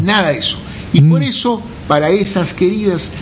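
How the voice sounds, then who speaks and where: A man at a fairly slow pace with ordinary pitch variation, audible room echo and noticeable background noise. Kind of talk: casual radio chat.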